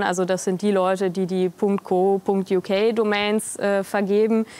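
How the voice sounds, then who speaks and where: A woman talks at a very slow pace. The sound is dry, with no echo. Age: 20s. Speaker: politician. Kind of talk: interview. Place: studio. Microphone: lapel.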